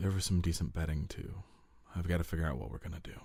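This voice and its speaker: A man puts on a gruff character voice, very deep and low in pitch. He speaks quietly at a very fast pace. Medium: read story. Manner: curt, commanding.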